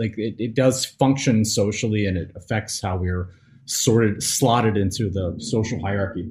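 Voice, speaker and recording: With an American accent, a man speaks in a somewhat breathy voice at medium pitch, with ordinary pitch variation and a fairly slow pace. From US South. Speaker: podcast host. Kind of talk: live stream discussion. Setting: live stream.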